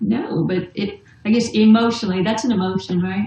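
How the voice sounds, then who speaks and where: A woman speaks in a plain, everyday voice, medium in pitch, fairly even in intonation, at a fairly quick pace. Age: 50s. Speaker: essential oils distributor. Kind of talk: casual chat.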